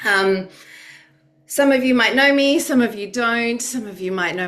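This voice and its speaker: The speaker, with an Australian accent, talks at a moderate pace with lively intonation amid audible room echo and noticeable background noise. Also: woman. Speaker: youth advocate and researcher. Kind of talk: webinar presentation. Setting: video call.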